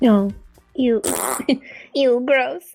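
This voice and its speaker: Over background music, a woman puts on a character voice at a high pitch. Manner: whiny, disgusted.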